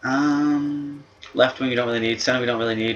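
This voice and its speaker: A man talks at a fairly quick pace while noticeable background noise runs underneath. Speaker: gaming youtuber. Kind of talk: gameplay commentary. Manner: casual, hesitant with fillers.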